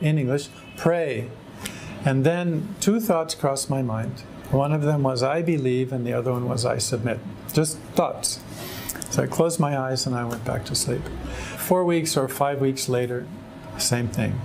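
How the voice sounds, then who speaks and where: With audible room echo and music in the background, a man with an American accent talks at a moderate pace and medium pitch, with ordinary pitch variation and long, frequent pauses. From California, US. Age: 60s. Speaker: religious convert. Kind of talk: testimony. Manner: halting.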